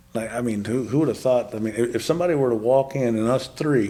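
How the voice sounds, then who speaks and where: A man in a West Texas accent speaks with fairly even intonation and a dark, mellow tone. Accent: West Texas cowboy English. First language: Spanish. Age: 40s. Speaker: podcast guest, former cowboy. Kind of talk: testimony.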